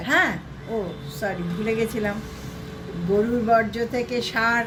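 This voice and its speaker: A woman speaks at a fairly high pitch with ordinary pitch variation over noticeable background noise. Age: 70s. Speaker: housewife. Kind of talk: interview answer.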